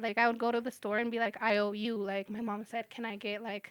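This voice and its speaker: Bright and sharp in tone, the voice sounds animated and moves at a fairly quick pace. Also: woman. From Mexico, then US from age seven. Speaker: podcast guest. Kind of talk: casual chat. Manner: animated, filler-heavy.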